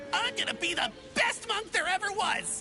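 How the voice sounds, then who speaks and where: Over clear background music, a squeaky put-on character voice talks at a moderate pace. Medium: video game. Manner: fast, rambling, eager.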